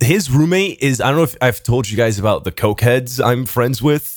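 A man's animated, lively-sounding voice at medium pitch and a moderate pace, on a very clean recording with a silent background. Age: 20s. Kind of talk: casual chat.

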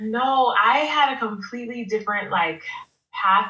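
An American accent with audible room echo. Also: woman. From Baltimore, Maryland. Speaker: wedding photographer. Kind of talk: interview.

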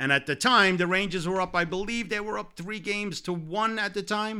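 A man with a New York accent speaks at a moderate pace in a bright, sharp tone. The recording is very clean, with a silent background. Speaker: sports podcast co-host. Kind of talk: casual sports talk. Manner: animated.

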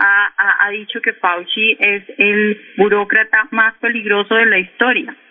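Noticeable background noise around a woman's medium-pitched voice. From Colombia, Cali. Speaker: economist and news portal editor. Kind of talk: radio interview. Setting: phone call.

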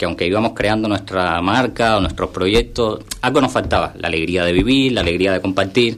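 A very fast voice with a Cuban accent and ordinary pitch variation, over noticeable background noise. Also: man. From Cuba, Havana. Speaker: content creator. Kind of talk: radio interview.

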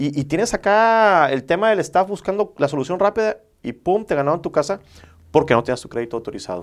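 A man talks at a very fast pace in a high voice with very wide pitch swings. The recording is very clean, with a silent background. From Mexico, Villahermosa, Tabasco. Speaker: mortgage broker. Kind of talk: interview, explanatory.

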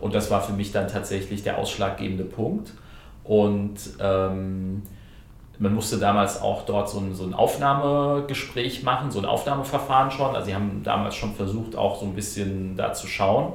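A man talks at a moderate pace as noticeable noise sounds in the background. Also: fairly low pitch for a man, ordinary pitch variation. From Hesse, near Frankfurt. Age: 30s. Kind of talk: casual interview. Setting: parliament building. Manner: hesitant with fillers.

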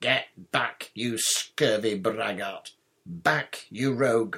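Shouting slowly in a put-on character voice, a man sounds fairly low in pitch, with ordinary pitch variation, a bright, sharp tone and a slightly husky edge.

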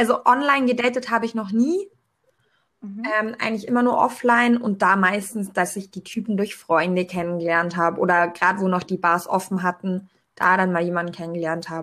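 A woman speaks fairly quickly in an unremarkable speaking voice, medium in pitch with ordinary variation. The recording is very clean, with a silent background. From Allgäu, southern Germany. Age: 20s. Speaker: podcast guest. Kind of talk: casual chat.

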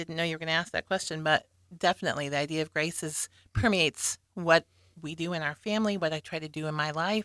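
A woman talks at a very fast pace with an American accent. The sound is dry and close with no echo, on a very clean recording with a silent background. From Nebraska, US Midwest (Lincoln). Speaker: single parent, guest. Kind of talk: casual interview.

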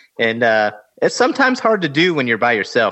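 A man talks at a fairly quick pace in a bright, sharp tone, with ordinary pitch variation over a quiet background. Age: 40s. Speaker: podcast co-host, fly fisherman. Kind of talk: casual chat.

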